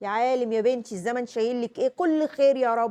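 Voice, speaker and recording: A woman with an Egyptian accent speaks at a fairly quick pace. Her high-pitched voice has an animated tone. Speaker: parenting vlogger, mother. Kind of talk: casual advice talk to camera.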